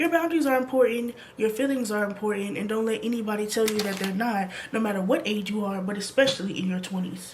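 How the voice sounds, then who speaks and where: Noticeable background noise sits behind a woman speaking at a fairly quick pace. Her fairly high pitch shows ordinary variation. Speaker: lifestyle vlogger. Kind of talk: advice talk to camera.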